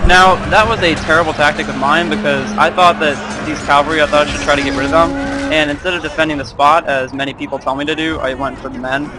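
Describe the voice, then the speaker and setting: Very fast speech from a man with a fairly high pitch and ordinary pitch variation, over noticeable background noise. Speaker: gaming video commentator. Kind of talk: gameplay commentary. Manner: halting.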